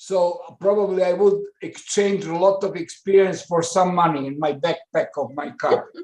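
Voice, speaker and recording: A man with a Serbo-Croatian accent speaks in a high pitch with fairly even intonation. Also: moderate pace. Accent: Balkan (Serbo-Croatian) English. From Balkans (Croatia/Serbia/Montenegro). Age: 60s. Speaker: professor. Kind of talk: webinar remarks. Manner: halting, many fillers.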